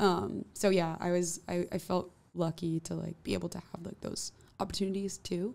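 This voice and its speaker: Someone with a New York accent talks at a moderate pace with fairly even intonation and vocal fry. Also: woman, fairly low pitch for a woman. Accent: New York area American English. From New Jersey. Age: 20s. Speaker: musician; guest. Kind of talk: casual interview. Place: studio. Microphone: studio mic.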